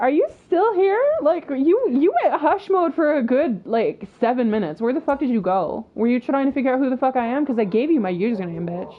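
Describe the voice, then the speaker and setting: A woman with a high pitch speaks at a fairly quick pace with very wide pitch swings and hardly any pauses over noticeable background noise. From Russia, Moscow. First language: Russian. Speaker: gaming streamer. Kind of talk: casual chat. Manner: animated.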